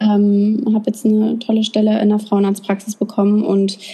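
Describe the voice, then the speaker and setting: A woman's voice at medium pitch. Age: 20s. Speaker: influencer and young mother. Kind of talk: interview.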